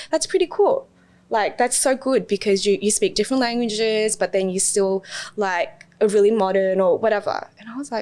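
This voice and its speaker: Her pitch is fairly high as a woman with an Australian accent talks at a moderate pace with ordinary pitch variation. Her loudness swings widely. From Australia, South West Sydney. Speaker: teacher living abroad. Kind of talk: casual podcast interview.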